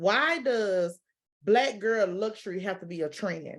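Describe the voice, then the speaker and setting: A woman with a medium pitch speaks in an animated tone over a quiet background. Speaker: guest on a talk vlog. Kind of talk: casual chat. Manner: loud.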